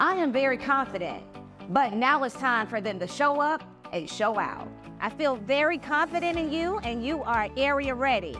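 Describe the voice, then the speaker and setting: A woman's high-pitched voice at a moderate pace, with clear music in the background. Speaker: dance coach. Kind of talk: coach addressing students and confessional interview. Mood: confident, motivating. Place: hall.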